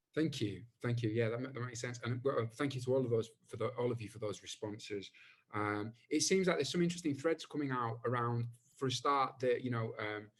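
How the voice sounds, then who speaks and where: At a fairly quick pace, a man talks in a somewhat breathy, medium-pitched voice with ordinary pitch variation. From Bradford, northern England. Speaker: panel chair, artist. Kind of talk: panel moderation. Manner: hesitant, repetitive fillers.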